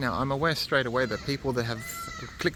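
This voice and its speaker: Noticeable background noise is present throughout. A man speaks over it in a medium pitch. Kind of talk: live vlog. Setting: indoor community place, then outdoors. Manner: halting; soft-spoken.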